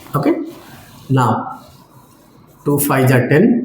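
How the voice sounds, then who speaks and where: A man with a fairly high voice speaks very slowly, his intonation lively. Room echo is audible, and there is noticeable background noise. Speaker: maths teacher. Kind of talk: lecture. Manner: slow, step-by-step.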